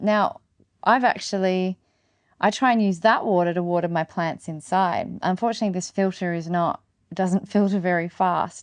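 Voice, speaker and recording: The voice comes with an Australian accent. The pace is moderate and the intonation fairly even. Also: woman, medium pitch for a woman. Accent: Australian, non-rhotic. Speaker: podcast host, gardening and regenerative living. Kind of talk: casual solo podcast talk.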